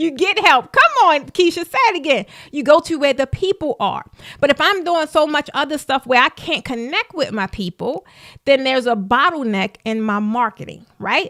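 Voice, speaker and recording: A woman with a Baltimore accent speaks at a moderate pace in an animated, bright, sharp tone, her high pitch making very wide swings, on a very clean recording with a silent background and a dry, close sound with no echo. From US, Baltimore, Maryland. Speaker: business coach. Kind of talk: live stream talk. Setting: live stream.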